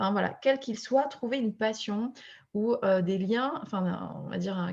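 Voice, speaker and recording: A woman speaks with a plain, everyday voice at a moderate pace. Behind her the background is quiet. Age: 30s. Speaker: fertility coach. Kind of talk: casual chat.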